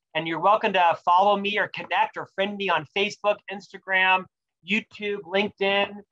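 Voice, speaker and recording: A man's raised, projected voice, high and bright and sharp, at a moderate pace with an American accent, in a dry, close recording with no echo. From US South. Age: 40s. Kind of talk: interview. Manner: animated.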